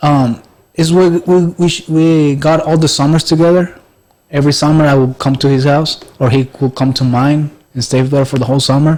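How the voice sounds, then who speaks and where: A Spanish accent, moderate pace, very even loudness and fairly even intonation. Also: man, fairly high pitch for a man. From Mexico. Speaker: podcast guest. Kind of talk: casual chat. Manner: halting.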